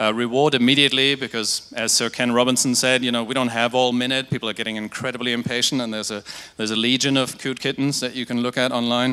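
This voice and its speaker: Talking at a very fast pace, a man with a German accent uses a flat monotone at medium pitch with a bright, sharp tone. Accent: German-tinged. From Germany, near Dutch border. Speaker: digital agency creative, conference speaker. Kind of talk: conference talk. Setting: stage with audience.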